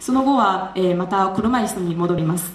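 Lively pitch movement and a moderate pace from a woman, against noticeable background noise. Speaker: graduate student. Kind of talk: speech contest presentation.

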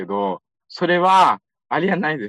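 A man's voice with very wide pitch swings, dry and close with no echo, over a quiet background. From Xinjiang, China (Urumqi). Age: 20s. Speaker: young office worker interviewee. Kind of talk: interview. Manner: fluent.

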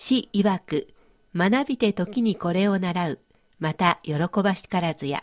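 A woman speaks fairly slowly in an unremarkable speaking voice at a medium pitch. The sound is dry and close, with no echo. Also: ordinary pitch variation. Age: 50s. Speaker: radio host. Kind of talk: educational radio talk.

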